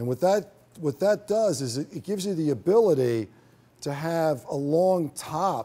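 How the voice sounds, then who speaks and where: Moderate pace and a dark, mellow tone from a man. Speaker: hairstylist educator. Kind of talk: tutorial. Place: stage.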